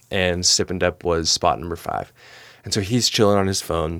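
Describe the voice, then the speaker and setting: Recorded very clean against a silent background, a man talks with a very deep, low pitch. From Oklahoma City. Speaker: former tourism sales and content director. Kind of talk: casual chat. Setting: studio. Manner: animated.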